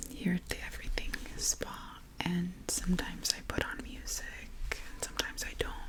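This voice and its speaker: Someone whispers over noticeable background noise. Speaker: ASMR creator. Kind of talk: guided breathwork. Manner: whispered, soft-spoken.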